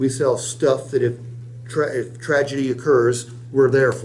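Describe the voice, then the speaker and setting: A man's medium-pitched, somewhat breathy voice with an American accent. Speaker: sales trainer. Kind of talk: sales training role-play. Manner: fast.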